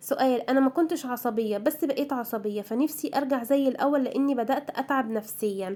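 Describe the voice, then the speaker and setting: Her tone is dark and mellow, set at a high pitch with ordinary pitch variation. The woman speaks at a moderate pace. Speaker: homemaker vlogger. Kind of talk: casual vlog chat. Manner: chatty, informal.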